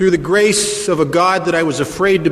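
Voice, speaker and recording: A man at a moderate pace, fairly even in intonation, against noticeable background noise. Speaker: recovering alcoholic, AA speaker. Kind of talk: recovery talk at a meeting. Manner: humorous storytelling.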